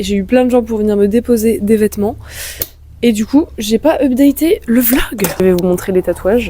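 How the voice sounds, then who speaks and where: At a moderate pace, a woman with a fairly high pitch talks with ordinary pitch variation over noticeable background noise. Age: 20s. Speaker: vlogger and thrift shop owner. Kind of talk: casual vlog narration. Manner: animated.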